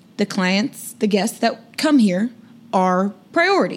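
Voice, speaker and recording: Fairly slow, somewhat breathy woman's voice with fairly high pitch and lively intonation. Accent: American. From Sacramento, California. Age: 30s. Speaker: legal sex worker guest. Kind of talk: casual chat.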